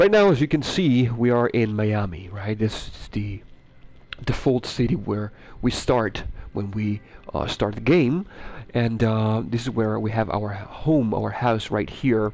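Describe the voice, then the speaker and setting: A man speaks with a non-native accent at a fairly slow pace. His pitch varies in an ordinary way. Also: medium pitch for a man. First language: not English. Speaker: gaming YouTuber. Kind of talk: gameplay commentary. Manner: halting, many fillers.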